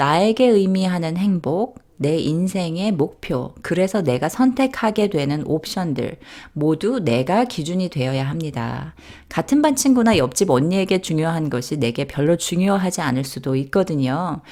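A dark, mellow tone with very wide pitch swings unfolds at a fairly slow pace on a very clean recording with a silent background. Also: woman. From South Korea. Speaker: nurse and author. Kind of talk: scripted narration.

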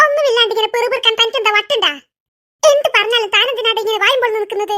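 Cartoonish character voice from a woman, extremely high in pitch, very fast, with ordinary pitch variation. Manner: sharp-tongued, scolding.

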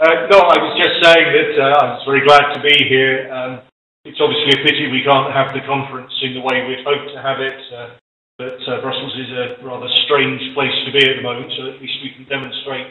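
With audible room echo, a man talks at a fairly quick pace in a monotone, flat intonation. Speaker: remote webinar speaker. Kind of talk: conference keynote remarks. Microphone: video call.

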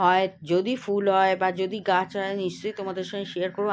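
This is a woman's voice. Her pitch is fairly low. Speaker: home vlogger. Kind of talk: casual vlog narration. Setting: at home by window.

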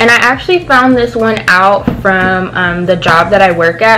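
A woman's medium-pitched voice at a fairly slow pace, with ordinary pitch variation over light background noise. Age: young. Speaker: beauty and lifestyle vlogger; beauty vlogger. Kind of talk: casual product review vlog. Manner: animated. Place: home room. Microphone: phone near.

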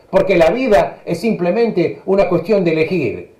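A man talks at a moderate pace in an animated tone, his pitch high with ordinary variation. The background is quiet, but the room echo is audible. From Argentina. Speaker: economist; radio talk show guest. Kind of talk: political commentary. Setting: video call. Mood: indignant, argumentative. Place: home room. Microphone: video call.

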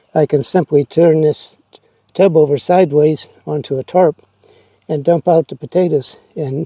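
This man's tone is dark and mellow. His voice is somewhat breathy. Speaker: home gardener. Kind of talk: gardening tutorial. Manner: hesitant, frequent uh fillers.

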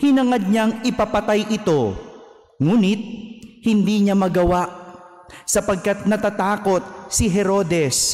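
A high-pitched man at a very slow pace, with music in the background. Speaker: priest. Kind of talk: homily. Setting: church. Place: church. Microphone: podium.

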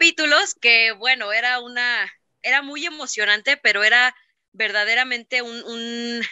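A woman with a high pitch talks at a fairly slow pace, her loudness swinging widely while her pitch varies in an ordinary way. The sound is dry with no echo, and the background is quiet. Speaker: voice actor. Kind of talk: interview answer. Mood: happy, reminiscing. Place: home room. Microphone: video call.

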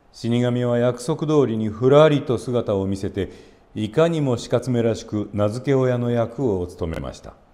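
Dark and mellow in tone, a man's medium-pitched voice carries ordinary pitch variation at a moderate pace. His loudness swings widely. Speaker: actor, narrator. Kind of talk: fairy tale reading for parents and children.

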